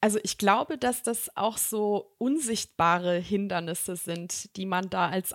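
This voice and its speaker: A woman speaks at a fairly slow pace in an ordinary speaking voice, medium in pitch with ordinary pitch variation, on a very clean recording with a silent background and a dry, close sound with no echo. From Germany, Bonn. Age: 30s. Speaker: executive recruiter. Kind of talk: podcast interview.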